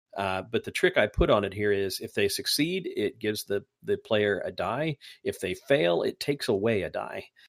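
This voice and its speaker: A man with an Indiana accent at a moderate pace, hardly any pauses, in a dry, close sound with no echo. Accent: Midwestern US (Indiana). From US Midwest. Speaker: podcast host.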